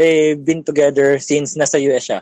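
Speaking at a moderate pace, a man with a Filipino accent has a fairly high pitch, and the sound is dry and close with no echo. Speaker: caller. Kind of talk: advice call-in.

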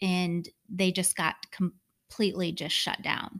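A woman with an unremarkable speaking voice talks at medium pitch and a fairly slow pace. The sound is dry and close with no echo, on a very clean recording with a silent background. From Michigan. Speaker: podcast co-host. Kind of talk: casual chat.

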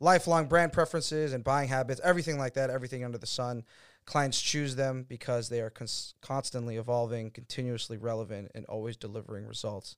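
Barely pausing, a man talks very fast with ordinary pitch variation. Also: medium pitch for a man. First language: not English. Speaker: podcast host about DJ culture and nightlife. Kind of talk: casual chat. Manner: many fillers like um and like.

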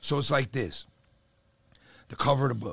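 A man's animated, fairly quick voice at medium pitch with vocal fry, on a very clean recording with a silent background. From New Jersey. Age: 50s. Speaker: real estate investor. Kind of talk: casual chat.

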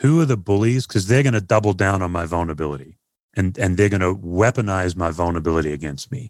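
Lively intonation marks this man's speech. He has an Australian accent. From Perth, Australia. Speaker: pastor and author. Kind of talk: casual interview chat.

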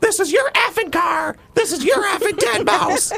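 A man puts on a character voice with an extremely high pitch. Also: moderate pace.

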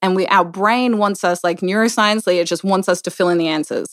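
With an Australian accent, a woman speaks in a very clean recording with a silent background and a dry, close sound with no echo. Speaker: business owner and mother. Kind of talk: casual chat.

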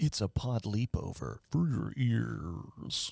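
A put-on character voice, low in pitch and very slow in pace. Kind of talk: announcer-like, smooth.

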